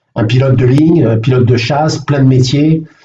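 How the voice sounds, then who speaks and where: Speaking at a fairly slow pace, a man with a medium pitch has a dark, mellow tone that is somewhat breathy, with ordinary pitch variation. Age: 60s. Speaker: mental coach. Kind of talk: live online coaching session. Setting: live video stream. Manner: halting, many fillers.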